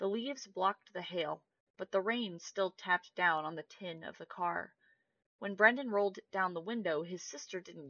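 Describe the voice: Quiet background, ordinary pitch variation, plain reading aloud.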